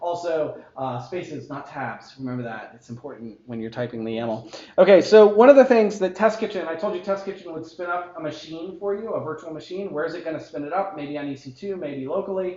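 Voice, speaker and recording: Over noticeable background noise, a man with a high pitch talks at a fairly quick pace with hardly any pauses, lively intonation and big swings in loudness. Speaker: tech conference speaker. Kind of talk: technical talk with live demo. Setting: meetup talk with live audience. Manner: fast; casual, joking.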